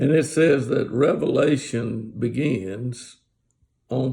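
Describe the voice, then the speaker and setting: Speaking very slowly, a man uses a medium pitch with ordinary pitch variation and a somewhat breathy voice. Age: 70s. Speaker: Bible teacher. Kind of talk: casual Bible talk. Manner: halting.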